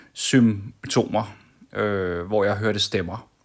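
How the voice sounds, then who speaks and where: This voice belongs to a man. He talks at a very slow pace. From Denmark, Copenhagen (Amager). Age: 40s. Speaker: vlogger. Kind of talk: personal vlog monologue. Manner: calm, hesitant with many fillers.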